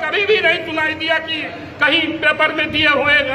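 A man's raised, projected voice at an extremely high pitch, with light background noise. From Uttar Pradesh, rural. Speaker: villager, farmer. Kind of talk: testimony; interview answer. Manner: halting. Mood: aggrieved, complaining. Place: hall.

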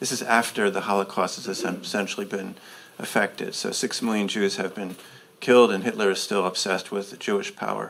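A man's fairly quick delivery, fairly even in intonation, over light background noise. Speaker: professor. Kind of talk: Q&A; interview answer. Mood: serious, measured. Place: hall.

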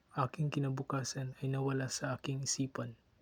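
A man of medium pitch talks at a fairly quick pace, somewhat breathy. The sound is dry and close, with no echo. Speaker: student performing a poem. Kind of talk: spoken word poetry performance.

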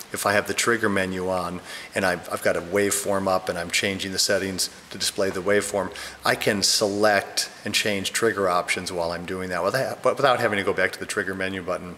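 Light background noise sits under a man's fairly low voice. He talks at a fairly quick pace with monotone, flat intonation. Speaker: product reviewer. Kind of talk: tutorial. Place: home room.

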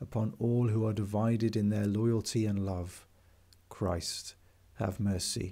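Very slowly, a man with an English accent speaks in a dark, mellow tone at a fairly low pitch, his intonation fairly even. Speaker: priest leading daily prayer. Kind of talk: fervent intercessory prayer, led aloud to listeners. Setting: video recording for online worship. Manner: slow, hushed and reverent, with pauses; earnest, heartfelt, a little hesitant.

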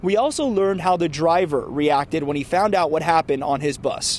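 The recording sounds dry with no echo as a man talks at a fairly quick pace. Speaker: TV news reporter. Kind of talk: news report stand-up. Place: street. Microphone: handheld.

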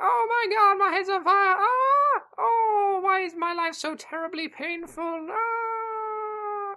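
Shouting in a put-on character voice at an extremely high pitch, a man goes at a very slow pace with hardly any pauses. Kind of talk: playful, comedic. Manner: mock screaming, exaggerated.

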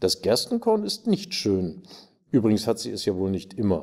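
A man with a dark, mellow tone speaks with lively intonation against a quiet background. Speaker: actor. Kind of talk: reading aloud. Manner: formal. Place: stage.

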